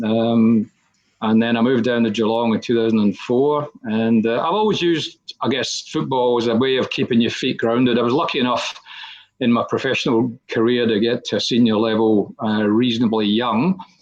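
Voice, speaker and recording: In a Scottish accent, a man speaks at a medium pitch with fairly even intonation. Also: very even loudness. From Scotland. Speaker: football committee chairperson. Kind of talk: podcast interview. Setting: virtual studio.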